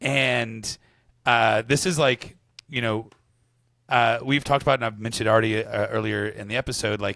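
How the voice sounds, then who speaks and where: A man at medium pitch, moderate pace, and ordinary pitch variation, with a bright, sharp tone, vocal fry, and long, frequent pauses. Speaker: podcast co-host. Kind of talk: casual book discussion.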